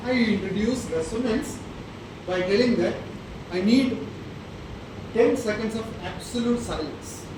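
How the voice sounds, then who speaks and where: There is noticeable background noise and audible room echo. A man speaks at a moderate pace. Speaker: professor. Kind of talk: lecture.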